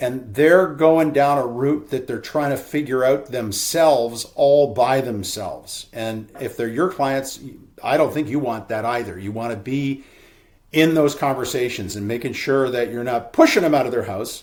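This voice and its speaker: A man speaks in a normal speaking voice at a medium pitch. His pace is moderate, with ordinary pitch variation. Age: 60s. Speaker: real estate broker. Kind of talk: webinar presentation. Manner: casual, conversational.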